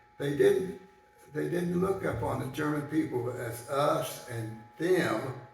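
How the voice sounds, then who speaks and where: A man speaks very slowly while noticeable background noise fills the recording. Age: 80s+. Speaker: Air Force veteran. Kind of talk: personal recollection talk. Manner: hesitant, with many fillers.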